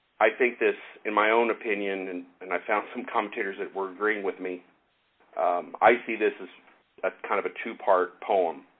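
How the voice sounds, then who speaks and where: An unremarkable speaking voice belongs to a man with an American accent and a fairly low pitch. He moves at a moderate pace with fairly even intonation. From US Midwest, Kansas City. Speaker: Bible teacher, former missionary. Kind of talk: Bible teaching with group discussion.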